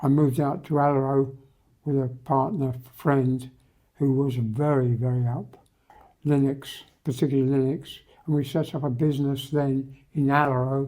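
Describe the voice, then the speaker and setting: Speaking in a British accent, a man has a fairly high pitch. His intonation is monotone and flat at a moderate pace. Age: 80s+. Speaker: retired marine engineer and IT entrepreneur. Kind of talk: interview. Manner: halting.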